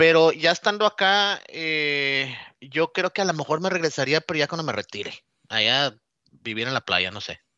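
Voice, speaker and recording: A man with a fairly high pitch talks at a moderate pace, his intonation lively. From Mexico, Nuevo Laredo, Tamaulipas. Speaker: relocated employee. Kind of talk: casual chat. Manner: halting.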